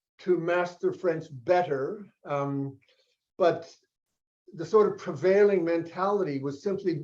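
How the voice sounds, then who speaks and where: This man's high-pitched voice has a dark, mellow tone and ordinary pitch variation. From Australia. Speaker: filmmaker and educator. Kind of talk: interview. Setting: video call.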